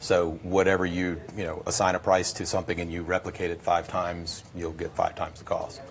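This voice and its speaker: A man with a very deep, low pitch and a somewhat breathy voice, at a fairly quick pace over light background noise. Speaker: guest. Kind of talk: interview answer. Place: studio.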